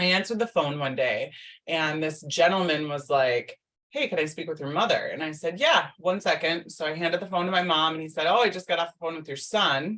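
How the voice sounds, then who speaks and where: A woman talks at a moderate pace with ordinary pitch variation. Her pitch sits fairly low. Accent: Upper Midwest. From US Midwest, Minnesota. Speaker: business coach. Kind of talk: podcast interview.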